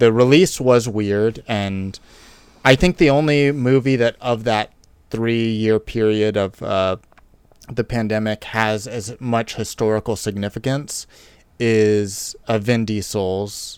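On a very clean recording with a silent background, a man speaks in a normal speaking voice. His fairly low pitch shows ordinary pitch variation at a fairly slow pace. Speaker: podcast co-host. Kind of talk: casual chat. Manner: playful, jokey.

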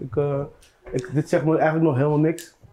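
Music plays in the background as a man talks in a fairly high voice. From Netherlands. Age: 30s. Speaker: musician. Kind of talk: casual chat.

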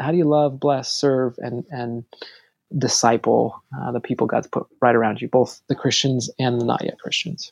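Dry and close with no echo, a man's ordinary speaking voice moves at a moderate pace with medium pitch and fairly even intonation. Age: 40s. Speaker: pastor. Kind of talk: casual chat.

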